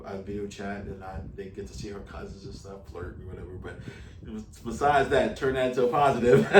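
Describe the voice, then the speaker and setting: The speech is very fast. Room echo is audible, along with noticeable background noise. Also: man. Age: 50s. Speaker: YouTuber, interviewer. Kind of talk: interview.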